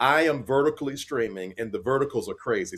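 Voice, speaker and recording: A man speaks at a fairly high pitch with vocal fry. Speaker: podcast co-host. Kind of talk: casual family discussion on a livestream. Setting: livestream.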